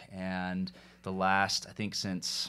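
Very deep and low, this man's voice carries an American accent. The recording is very clean, with a silent background. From US South, Atlanta, Georgia. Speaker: mortgage lender. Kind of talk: casual interview. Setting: studio, sitting next to host.

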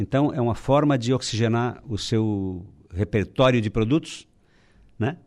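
The man has a plain, everyday voice. It sits at a medium pitch and shows ordinary pitch variation. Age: 60s. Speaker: business association president. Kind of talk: radio interview. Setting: radio studio.

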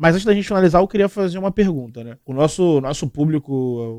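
A man with a dark, mellow tone talks very fast, his pitch varying in an ordinary way. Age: 20s. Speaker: podcast host. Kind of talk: casual chat.

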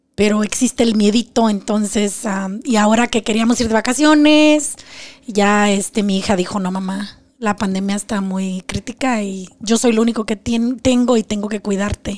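The speaker has an ordinary speaking voice, talking at a moderate pace with ordinary pitch variation. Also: woman. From Mexico, Zacatecas. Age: 40s. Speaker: abuse survivor sharing her story. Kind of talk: testimony.

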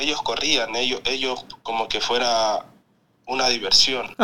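Very slow speech from a man at a medium pitch, with a bright, sharp tone and ordinary pitch variation. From Ecuador, Quinindé. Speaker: professional footballer. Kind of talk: interview. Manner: halting, repeats words.

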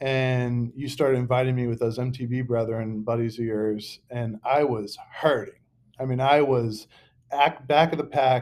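This man has a normal speaking voice at a medium pitch. He talks at a fairly slow pace with fairly even intonation. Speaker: podcast host. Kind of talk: casual chat. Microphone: laptop mic.

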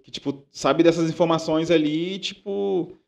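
An unremarkable speaking voice. Its pitch moves in an ordinary way. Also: man. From Baixada Fluminense, Rio de Janeiro. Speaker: musician, DJ and music producer. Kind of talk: casual chat.

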